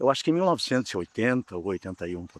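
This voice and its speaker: A man's voice with very wide pitch swings on a very clean recording against a silent background. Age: 60s. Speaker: real estate agent and lawyer, amateur musician. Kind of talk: documentary interview.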